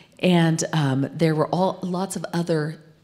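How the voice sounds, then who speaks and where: A woman talks with an American accent. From Arizona, US. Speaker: corporate communications executive, former TV news anchor; interview guest. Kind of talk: interview on stage. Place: studio. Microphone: handheld.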